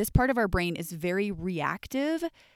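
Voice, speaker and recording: A woman speaks at a moderate pace in a very clean recording with a silent background and a dry, close sound with no echo. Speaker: life coach podcast host. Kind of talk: solo educational monologue. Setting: podcast recording. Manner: soft, soothing.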